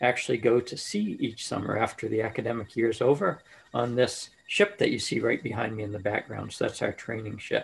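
The speaker talks at a fairly quick pace with fairly even intonation. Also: man. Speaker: engineering professor. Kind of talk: panel self-introduction. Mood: friendly, relaxed. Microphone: video call.

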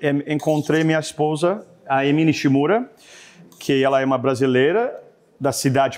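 Here a man speaks at a moderate pace with a fairly high pitch and ordinary pitch variation. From Canada. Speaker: chef and restaurant owner; guest. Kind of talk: cooking demonstration; cooking demonstration talk. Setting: studio. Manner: halting, with frequent fillers. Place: kitchen.

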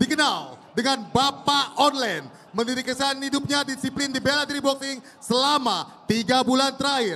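Raising and projecting his voice, a man speaks at an extremely high pitch with fairly even intonation over noticeable background noise. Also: moderate pace. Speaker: ring announcer. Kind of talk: stadium announcer introducing fighters. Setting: stage with live audience. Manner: loud, hyped, crowd-rousing.

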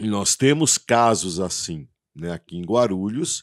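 Over a quiet background, a man speaks at a very slow pace. His pitch is fairly low and his intonation lively. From São Paulo, Brazil. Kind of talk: interview. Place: studio. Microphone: studio mic.

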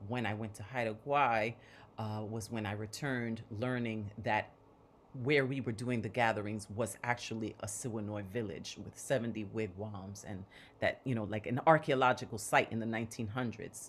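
The speech moves at a moderate pace with fairly even intonation, over light background noise. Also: woman, very deep, low pitch for a woman. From Puerto Rico, Bronx New York. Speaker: artist, curator, activist; panelist. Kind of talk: panel presentation. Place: home room. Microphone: video call.

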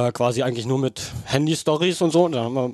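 With a dark, mellow tone, a man speaks at a moderate pace, the sound dry with no echo and the background quiet. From Brandenburg, Germany. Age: 20s. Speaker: angling YouTuber; podcast guest. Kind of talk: interview. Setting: outdoor backyard. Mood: earnest, personal confession. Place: home room. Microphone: headset.

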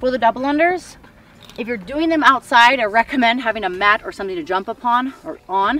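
A fairly quick pace and a dry sound with no echo. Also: woman. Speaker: fitness coach. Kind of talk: tutorial. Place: open country.

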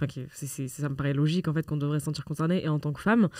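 A woman with a very deep, low, dark and mellow voice talks at a fairly quick pace on a very clean recording with a silent background. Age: 20s. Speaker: children's rights activist. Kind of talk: conversational interview. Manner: hesitant, many fillers.

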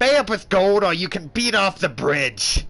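A man uses a put-on character voice pitched high. He keeps a moderate pace. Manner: silly.

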